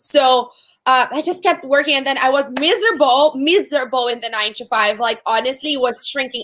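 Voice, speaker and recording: A woman with a Portuguese accent speaks in a bright, sharp tone on a very clean recording with a silent background. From Brazil. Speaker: entrepreneur. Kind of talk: interview.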